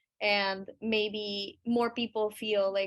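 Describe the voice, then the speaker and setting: This woman speaks with a Spanish accent at a fairly high pitch. Her intonation stays fairly even. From Colombia. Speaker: webinar moderator, music artist. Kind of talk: panel webinar conversation.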